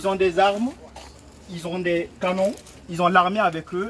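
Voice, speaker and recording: This voice belongs to a man. His pitch is high. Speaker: political activist. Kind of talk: rally speech. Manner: impassioned.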